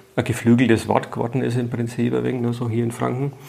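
A man's medium-pitched voice moves at a fairly quick pace with noticeable background noise underneath. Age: 50s. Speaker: writer and former teacher. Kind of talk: interview.

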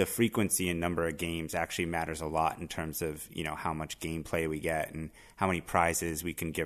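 Very fast and with hardly any pauses, a man speaks in a very deep, low pitch. His intonation is monotone and flat. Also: quiet background. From Miami. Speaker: tech company CEO. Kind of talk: interview.

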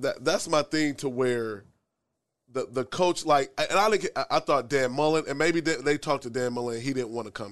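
This man talks at a fairly quick pace with an American accent and an unremarkable speaking voice. His pitch is fairly high with ordinary variation, and the background is quiet. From Omaha, Nebraska. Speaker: podcast host. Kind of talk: casual interview.

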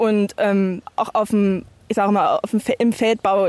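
The woman's voice is fairly high in pitch with fairly even intonation, and the sound is dry and close with no echo. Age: 30s. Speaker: farmer. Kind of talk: casual chat. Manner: halting.

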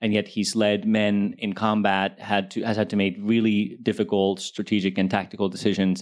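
Speaking at a moderate pace in a normal speaking voice, with hardly any pauses, very even loudness and fairly even intonation. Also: man, fairly low pitch for a man. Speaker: TV producer panelist. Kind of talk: panel discussion. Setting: stage with audience.

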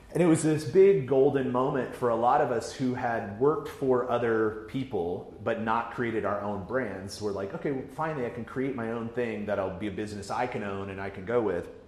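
A man at a fairly quick pace with hardly any pauses, ordinary pitch variation, and noticeable background noise. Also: medium pitch for a man. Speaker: digital media editor. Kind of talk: casual chat.

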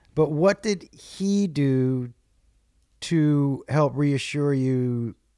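A man speaks in a medium pitch with a dark, mellow tone. The recording is very clean, with a silent background. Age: 50s. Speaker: stand-up comedian. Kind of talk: casual chat. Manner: animated.

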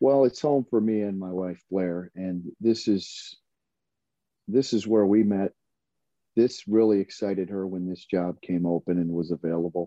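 Speaking at a moderate pace with an American accent, a man has an unremarkable speaking voice, a fairly low pitch and ordinary pitch variation. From Michigan. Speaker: college basketball assistant coach and former player. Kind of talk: casual interview.

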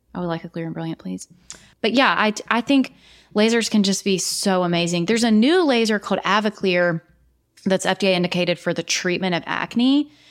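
On a very clean recording with a silent background, a woman uses a normal speaking voice at medium pitch, with ordinary pitch variation and a fairly quick pace. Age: 40s. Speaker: nurse practitioner and podcast host. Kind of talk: solo casual monologue. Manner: chatty, conversational.

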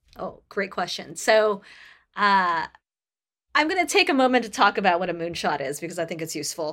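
Her pitch swings very widely as the woman speaks at a moderate pace. The recording is very clean, with a silent background. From Canada. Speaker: tech company sustainability leader. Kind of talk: interview.

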